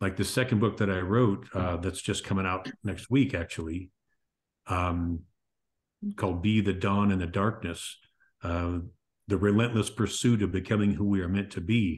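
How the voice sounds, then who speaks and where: A man's fairly low, somewhat breathy voice at a fairly slow pace with fairly even intonation, over a quiet background. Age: 60s. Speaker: author and podcast host. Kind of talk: interview conversation.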